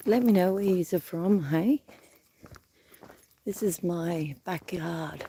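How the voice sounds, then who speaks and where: A woman with an Australian accent talks very slowly with long, frequent pauses in a fairly low voice and ordinary pitch variation. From Australia, New South Wales. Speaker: livestreamer. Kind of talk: casual vlog livestream chat. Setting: outdoors, bush walk.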